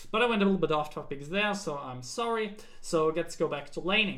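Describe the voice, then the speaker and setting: A man's bright, sharp tone at a fairly quick pace, with audible room echo. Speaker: game coach. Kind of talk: tutorial. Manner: fast.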